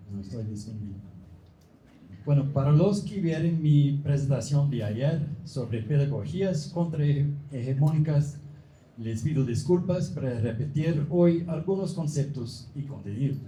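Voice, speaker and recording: A man with a non-native accent speaks at a fairly slow pace in a dark, mellow, somewhat breathy voice, fairly high-pitched with ordinary pitch variation, and audible room echo. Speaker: professor. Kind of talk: lecture. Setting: book fair conference. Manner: halting.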